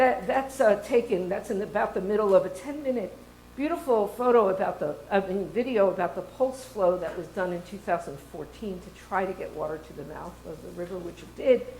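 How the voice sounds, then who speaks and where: A woman at a medium pitch with lively intonation, big swings in loudness, a fairly quick pace, hardly any pauses and audible room echo. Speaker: water resources professor and research center director. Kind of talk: conference talk. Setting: stage with audience. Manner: fast.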